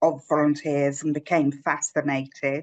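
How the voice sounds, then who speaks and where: A woman with a London accent speaks at a fairly slow pace. The sound is dry and close, with no echo. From North London. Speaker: volunteer program manager. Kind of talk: webinar talk.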